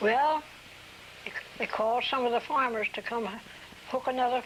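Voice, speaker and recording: A woman talks at a moderate pace in a high voice. Background noise is noticeable. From US Mid-Atlantic, New Castle, Delaware. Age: 80s+. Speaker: oral history interviewee. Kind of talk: oral history interview. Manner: halting.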